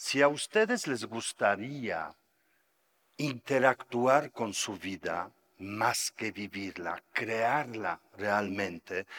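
A man's medium-pitched, bright and sharp voice at a very slow pace, dry and close with no echo, on a very clean recording with a silent background. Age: 60s. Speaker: Buddhist meditation teacher. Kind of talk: lecture.

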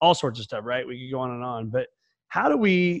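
A man talks at a fairly quick pace with ordinary pitch variation against a quiet background. He has a plain, everyday voice. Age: 40s. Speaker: podcast host. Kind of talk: casual interview chat.

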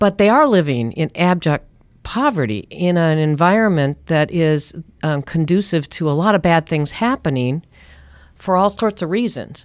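Recorded very cleanly against a silent background, a woman with a plain, everyday voice speaks at a moderate pace in a fairly low pitch. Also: lively intonation. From US Midwest, Minnesota (Minneapolis). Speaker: nonprofit housing executive. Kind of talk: interview. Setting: studio.

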